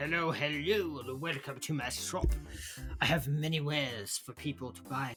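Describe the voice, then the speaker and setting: Over faint background music, a man puts on a character voice at a fairly high pitch, moving at a moderate pace with lively intonation. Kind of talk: welcoming, sales pitch.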